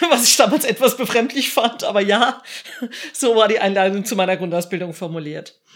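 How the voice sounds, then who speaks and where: Over noticeable background noise, a woman speaks fairly quickly with lively intonation and a medium pitch. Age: 50s. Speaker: civil protection volunteer leader. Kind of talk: interview answers.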